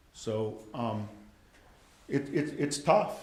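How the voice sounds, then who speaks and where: A man at a very slow pace with ordinary pitch variation, amid audible room echo. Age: 60s. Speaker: school district official. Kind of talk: presentation at city council meeting. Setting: council chamber meeting. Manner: halting, frequent fillers and restarts.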